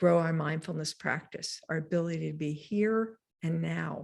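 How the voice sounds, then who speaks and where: A woman's fairly low, unremarkable speaking voice at a fairly slow pace, on a very clean recording with a silent background. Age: 60s. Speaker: mindfulness teacher. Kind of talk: lecture.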